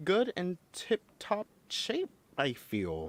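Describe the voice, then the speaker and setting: The sound is dry and close with no echo. The speaker has an American accent. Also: man. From United States. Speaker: podcast co-host. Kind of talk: casual chat. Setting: video call livestream from home. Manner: animated.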